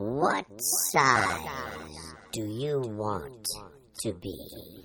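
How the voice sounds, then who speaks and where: A man uses a put-on character voice with a fairly low pitch. His pitch swings very widely. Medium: read story. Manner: curt, blunt, contradicting.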